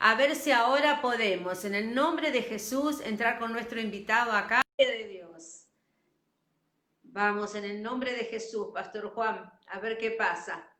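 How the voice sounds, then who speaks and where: At a fairly slow pace, a woman with an unremarkable speaking voice talks fairly high in pitch, with ordinary pitch variation and big swings in loudness. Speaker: pastor and program host. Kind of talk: program opening to audience.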